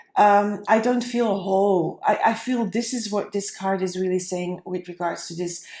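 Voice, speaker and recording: A woman's medium-pitched, dark and mellow voice with a non-native accent, at a moderate pace with fairly even intonation and hardly any pauses. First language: not English. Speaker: tarot reader. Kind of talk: tarot reading. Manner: halting, with fillers.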